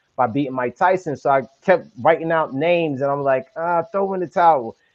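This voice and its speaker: Speaking with a New York accent, a man keeps a moderate pace. His pitch is fairly high. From Brooklyn, New York. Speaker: podcaster. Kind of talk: casual interview. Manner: animated.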